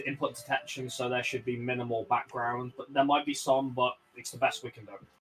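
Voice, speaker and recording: A man with a strong Birmingham accent, medium pitch, monotone flat intonation, a very fast pace and big swings in loudness. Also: hardly any pauses. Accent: strong Birmingham (Brummie). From Birmingham, England (West Midlands). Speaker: streamer. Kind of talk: casual chat. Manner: halting.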